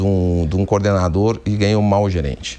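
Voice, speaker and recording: This man has a fairly low pitch and a dark, mellow tone. His intonation stays fairly even. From Rio Grande do Sul, southern Brazil. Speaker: company executive, engineer. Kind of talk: TV business interview. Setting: TV studio.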